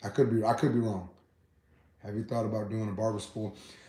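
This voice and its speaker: A man with an American accent speaks at a fairly quick pace. There is audible echo from the room. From Texas. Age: 30s. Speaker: barber and YouTuber. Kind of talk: live stream Q and A. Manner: casual, repetitive filler.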